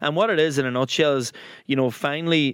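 This voice belongs to a man. He speaks with an Irish accent. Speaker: podcast co-host. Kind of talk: casual chat.

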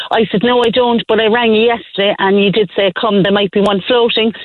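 A woman's fairly high voice in a Cork accent, fairly quick and fairly even in intonation, over noticeable background noise. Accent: Cork Irish. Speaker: caller. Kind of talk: phone-in call. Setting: phone call from car.

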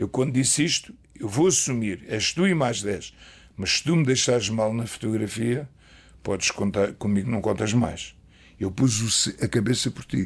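A man talks at a fairly slow pace. His voice sits at a medium pitch with ordinary variation. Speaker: retired football coach. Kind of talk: casual interview storytelling. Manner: animated.

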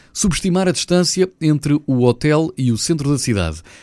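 In a very clean, dry and close recording with a silent background and no echo, a man talks at a moderate pace with a European Portuguese accent. His tone is dark and mellow, and his pitch swings very widely. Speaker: radio presenter. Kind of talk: news segment.

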